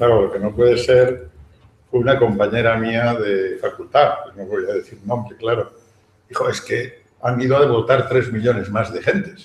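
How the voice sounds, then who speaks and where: With audible room echo and light background noise, a man talks at a moderate pace with ordinary pitch variation. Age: old. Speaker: professor emeritus. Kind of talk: panel discussion. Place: hall. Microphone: camera far.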